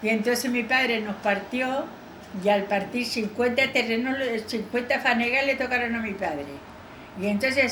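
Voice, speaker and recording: A woman speaks at a moderate pace in a high voice. Audible room echo and noticeable background noise come through. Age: 80s+. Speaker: elderly local witness. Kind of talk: oral history interview.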